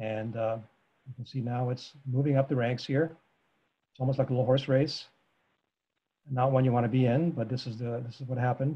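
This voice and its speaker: A man's dark, mellow tone, somewhat breathy. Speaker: presenter. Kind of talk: lecture. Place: home room. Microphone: video call.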